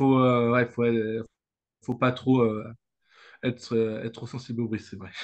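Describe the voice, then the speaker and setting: A man talks fairly slowly at a medium pitch, with monotone, flat intonation. His loudness swings widely, and he leaves long, frequent pauses. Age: 20s. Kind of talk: interview. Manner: halting, many hesitations and repeats.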